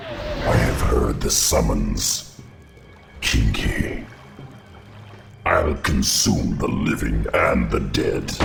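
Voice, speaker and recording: Growling in a put-on character voice, a man speaks at a very slow pace, with slight echo and loud background noise. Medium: cartoon. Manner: menacing, grave.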